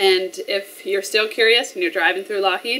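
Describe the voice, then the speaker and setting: A woman is talking with a Canadian prairie accent. Her intonation is fairly even. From Canada, rural Alberta (Flagstaff County); Alberta. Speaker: small business owner. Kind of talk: business promotional interview. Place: shop.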